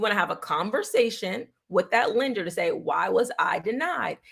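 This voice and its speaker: A woman speaks with a New York accent and a fairly high pitch. Her intonation is lively. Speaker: real estate agent. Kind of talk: livestream Q&A. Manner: fast.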